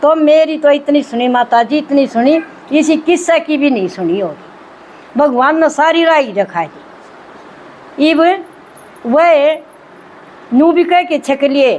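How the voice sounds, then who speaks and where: With ordinary pitch variation and a high pitch, a woman's voice rises above noticeable background noise. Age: 60s. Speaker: spiritual group member sharing experience. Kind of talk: testimony. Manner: animated.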